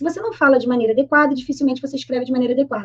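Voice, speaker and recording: A woman speaks at a high pitch. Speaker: Portuguese teacher. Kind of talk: online grammar lesson. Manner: fast; informal, colloquial.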